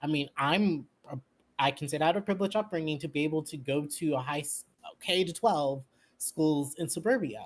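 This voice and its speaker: In an Orange County accent, this voice moves at a fairly quick pace with an animated tone. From US West Coast, Orange County California. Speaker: podcast guest, leftist commentator. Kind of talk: casual political chat.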